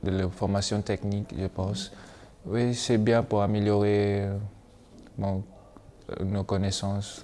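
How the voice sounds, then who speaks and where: A man with a fairly low pitch, a very slow pace, monotone, flat intonation and long, frequent pauses. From Malaysia. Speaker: exchange student. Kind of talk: testimony. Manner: halting.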